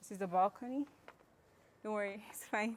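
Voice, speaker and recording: Against noticeable background noise, a woman speaks at a medium pitch. Her tone is animated and her intonation lively. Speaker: travel vlogger. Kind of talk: vlog house tour. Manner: quiet, lowered voice.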